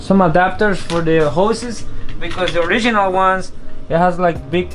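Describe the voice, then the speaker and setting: Music plays in the background as a man with a non-native accent speaks at a high pitch and moderate pace, with ordinary pitch variation. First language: not English. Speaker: car enthusiast, home mechanic. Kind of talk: casual car repair tutorial.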